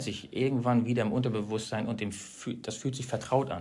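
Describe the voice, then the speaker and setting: A man at medium pitch, fairly even intonation, audible room echo and music in the background. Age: 40s. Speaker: company manager in wood products e-commerce. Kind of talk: interview conversation. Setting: on-site recording at the company.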